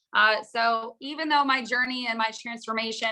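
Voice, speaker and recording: Her fairly high voice has a bright, sharp tone, and the woman talks at a moderate pace with monotone, flat intonation. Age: 30s. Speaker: teacher and coach. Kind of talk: sales pitch.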